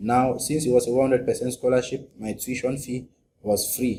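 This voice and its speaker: A man with a Cameroonian accent speaks at a fairly quick pace and medium pitch, in a monotone, flat intonation. His tone is dark and mellow, and somewhat breathy. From Cameroon, northwest region (Anglophone). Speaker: graduate student. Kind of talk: interview. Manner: halting.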